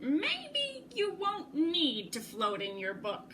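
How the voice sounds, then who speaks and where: Putting on a character voice, a woman speaks at a very slow pace in a high pitch with very wide pitch swings. Clear background noise sits behind her. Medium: read story. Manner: warm, encouraging.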